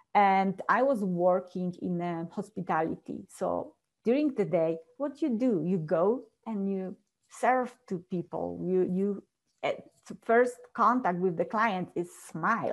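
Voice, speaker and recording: A woman's medium-pitched, very slow speech with a Polish accent and ordinary pitch variation. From Poland, small village. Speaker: transformational coach. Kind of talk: interview, personal story. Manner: laughs often.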